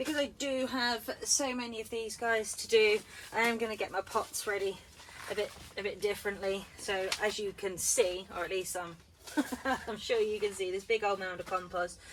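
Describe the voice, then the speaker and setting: A woman in a British accent, medium-pitched and fairly even in intonation, at a moderate pace over noticeable background noise. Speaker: gardening vlogger. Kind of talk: casual vlog tutorial. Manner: loud. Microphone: no microphone, camera audio.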